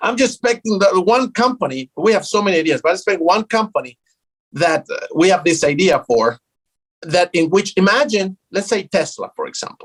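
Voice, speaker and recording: A man with a South American Spanish accent, high pitch and lively intonation, in a dry, close sound with no echo. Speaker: tech startup founder. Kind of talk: interview. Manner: animated.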